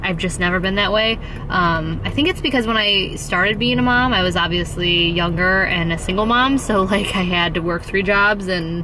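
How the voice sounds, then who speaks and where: A woman speaks at a moderate pace with hardly any pauses, the sound dry with no echo and noticeable background noise. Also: ordinary pitch variation. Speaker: family vlogger. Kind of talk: casual vlog chat. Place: car. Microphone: phone near.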